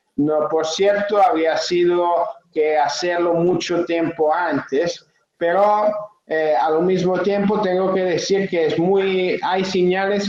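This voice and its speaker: With an Italian accent, a high-pitched man talks at a very slow pace, keeping very even loudness and fairly even intonation. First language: Italian (speaking Spanish). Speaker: trade unionist. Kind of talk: panel talk. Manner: halting, many fillers.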